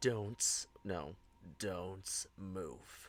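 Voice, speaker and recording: The speaker puts on a gruff character voice. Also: man, very deep, low pitch for a man. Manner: commanding.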